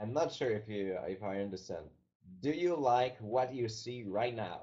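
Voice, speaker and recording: This man talks with lively intonation and a dark, mellow tone in a French-Canadian accent. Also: medium pitch for a man, moderate pace. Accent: French-Canadian, non-native English. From Quebec, Canada. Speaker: company founder. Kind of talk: webinar presentation. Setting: online webinar. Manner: halting.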